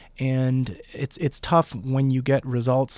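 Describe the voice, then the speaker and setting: The sound is dry and close with no echo as a man speaks at medium pitch. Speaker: podcast host and intensive care physician. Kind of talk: interview. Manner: halting.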